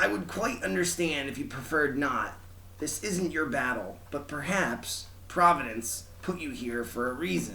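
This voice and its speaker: A man's put-on character voice at a moderate pace, with clear background noise behind it. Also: fairly high pitch for a man. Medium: read story. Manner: soft, earnest.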